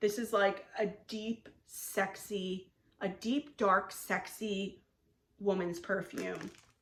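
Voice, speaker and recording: At a very slow pace, a woman talks in a medium pitch with ordinary pitch variation. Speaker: wax product reviewer. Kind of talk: haul review.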